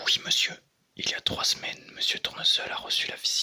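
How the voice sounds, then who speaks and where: Whispered speech moves along at a fairly quick pace. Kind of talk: comic book read aloud. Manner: soft-spoken.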